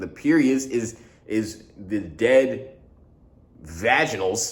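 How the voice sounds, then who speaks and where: A man talks at a medium pitch. Room echo is audible. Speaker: vlogger. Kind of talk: casual vlog monologue. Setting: studio. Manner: fast; slurred at times.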